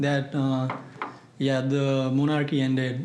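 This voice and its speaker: A man at medium pitch speaks in a flat monotone, with audible room echo and noticeable background noise. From Nepal. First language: Bhojpuri. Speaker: trip presenter. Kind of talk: Q&A answers.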